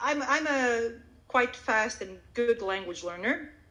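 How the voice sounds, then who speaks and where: A woman speaks at a high pitch with a Croatian accent. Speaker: Swedish language teacher. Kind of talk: interview. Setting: live audio event.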